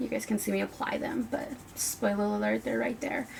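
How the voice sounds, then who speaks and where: A woman talks at a moderate pace amid noticeable background noise. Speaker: beauty youtuber. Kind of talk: makeup tutorial chat. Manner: animated.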